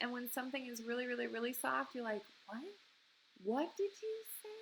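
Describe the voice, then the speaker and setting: A woman's high-pitched, raised and projected voice over light background noise. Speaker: primary music teacher. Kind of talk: online lesson for children. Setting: recording at home. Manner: animated. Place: home room. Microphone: webcam.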